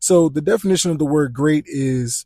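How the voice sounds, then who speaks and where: A man speaks loudly at a fairly high pitch, with a dark, mellow tone and ordinary pitch variation. The sound is dry and close with no echo over a quiet background. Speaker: podcast host. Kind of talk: solo podcast monologue.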